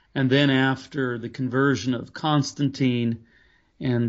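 A man talks in a plain, everyday voice with a fairly high pitch. He goes at a fairly slow pace against a quiet background. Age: 50s. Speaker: pastor and author. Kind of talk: interview about faith.

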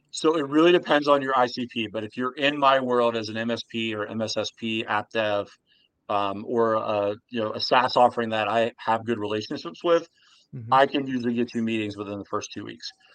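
In an unremarkable speaking voice, a man with an American accent talks at a moderate pace with medium pitch and ordinary pitch variation against a quiet background. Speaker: sales outsourcing company founder. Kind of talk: interview.

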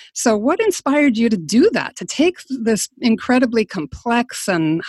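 Somewhat breathy, fairly high-pitched woman at a moderate pace, in a dry, close sound with no echo. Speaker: podcast host. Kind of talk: interview, casual chat.

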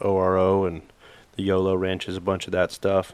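Speaking at a moderate pace, a man with an American accent has an unremarkable speaking voice at a fairly low pitch. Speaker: hunting guide. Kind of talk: casual chat.

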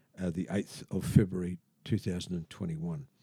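Speaking at a very slow pace, a man with an Australian accent has a dark, mellow tone. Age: 70s. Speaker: patient with urinary sphincter implant. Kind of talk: casual interview telling his story. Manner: halting, many fillers.

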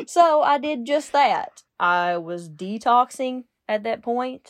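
A woman with a Kentucky accent speaks at a very slow pace with lively intonation. The sound is dry and close with no echo, over a quiet background. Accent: southern US (Kentucky). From Kentucky, Lincoln County. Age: 30s. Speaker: recovering addict, rehab worker. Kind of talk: testimony.

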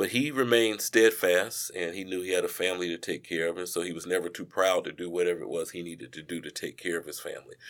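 A man with an American accent, very deep and low in pitch, very fast with hardly any pauses, ordinary pitch variation and big swings in loudness. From Charlotte, North Carolina. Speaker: finance professional, son of a civil rights figure. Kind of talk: podcast interview.

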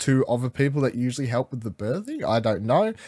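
A man's medium-pitched voice comes through in an Australian accent. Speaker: podcast host. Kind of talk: casual chat. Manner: animated.

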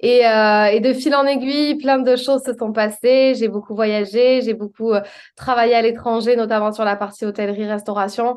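Against a quiet background, a woman speaks at a moderate pace and a fairly high pitch in a plain, everyday voice. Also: fairly even intonation. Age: 30s. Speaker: public speaking coach. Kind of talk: interview.

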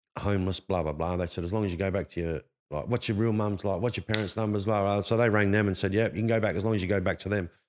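A man with an Australian accent talks at a very fast pace, fairly low in pitch and with fairly even intonation. The recording is very clean, the background silent. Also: hardly any pauses. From Perth, Australia. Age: 40s. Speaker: former homeless man sharing life story. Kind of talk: casual chat.

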